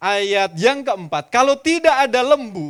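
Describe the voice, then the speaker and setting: On a very clean recording with a silent background, a man with a Javanese accent makes very wide pitch swings. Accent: Javanese-accented Indonesian. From East Java, Surabaya. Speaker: pastor. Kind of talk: sermon. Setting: church.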